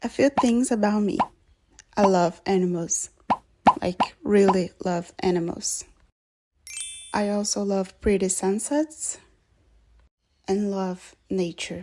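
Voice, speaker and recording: The pace is very slow, with long, frequent pauses. Pitch varies in an ordinary way. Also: woman, medium pitch for a woman. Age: 20s. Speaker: university student. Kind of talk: self-introduction video, scripted.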